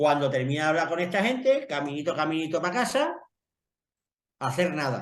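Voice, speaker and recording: A man with an Extremaduran accent, fairly high-pitched, lively in intonation, at a moderate pace with long, frequent pauses. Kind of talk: casual chat.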